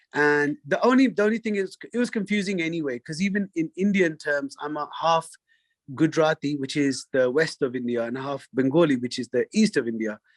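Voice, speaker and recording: This man's voice is fairly high and carries a London accent. His intonation is lively. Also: fairly quick pace, dry, close sound with no echo. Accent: British, London. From London, England. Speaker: singer. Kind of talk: interview conversation. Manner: halting, many fillers.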